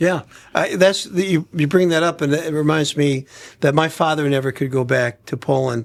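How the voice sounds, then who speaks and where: On a very clean recording with a silent background, a man with a fairly high pitch and a plain, everyday voice speaks at a moderate pace in an American accent with fairly even intonation. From Brooklyn, New York. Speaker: podcast host. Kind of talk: podcast conversation.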